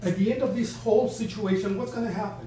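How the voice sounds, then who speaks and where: A man with an American accent speaks at a fairly quick pace with a high pitch and lively intonation. Noticeable background noise and audible room echo fill the recording. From Texas. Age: 70s. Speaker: bereaved father and community member. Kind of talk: public meeting question. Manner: halting, repetitive.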